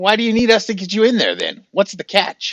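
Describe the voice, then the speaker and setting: A man's put-on character voice, high in pitch and fairly quick. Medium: actual play. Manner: rambling, hesitant, chatty.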